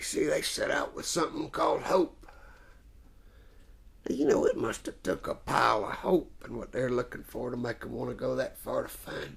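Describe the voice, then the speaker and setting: A man's raspy, put-on character voice at a moderate pace, with big swings in loudness. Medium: stage play. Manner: folksy, drawling, homespun.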